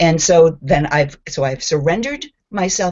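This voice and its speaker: Ordinary pitch variation marks a woman's voice, which sits very deep and low. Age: 60s. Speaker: spiritual group participant. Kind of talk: testimony. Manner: animated.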